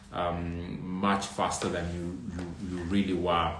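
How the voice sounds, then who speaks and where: A man speaks in a very deep, low voice, with audible room echo. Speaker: trichologist answering viewer questions. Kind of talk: live stream Q&A.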